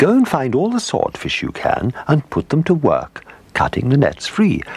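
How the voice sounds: Put on as a character voice, the delivery has a slightly husky edge and vocal fry, very wide pitch swings, and a moderate pace. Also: man, medium pitch for a man.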